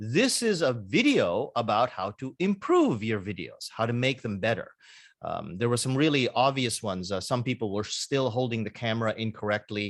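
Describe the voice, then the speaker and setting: The recording is very clean, with a silent background. A man talks at a medium pitch with lively intonation. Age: 60s. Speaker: university English teacher. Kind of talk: recorded class instructions. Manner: halting, with many fillers.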